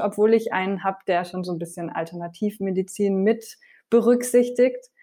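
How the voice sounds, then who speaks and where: An unremarkable speaking voice from a woman of medium pitch, on a very clean recording with a silent background. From France. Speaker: TV cook and vegan cookbook author. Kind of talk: casual interview.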